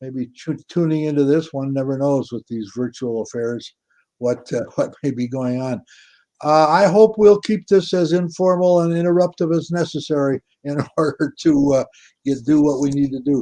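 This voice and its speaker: This man has a dark, mellow tone and a fairly high pitch, speaking at a moderate pace with ordinary pitch variation and an Upper Midwest accent. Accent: Upper Midwest American. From Minnesota. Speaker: author and interviewer. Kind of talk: author interview. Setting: video call. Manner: halting, many restarts.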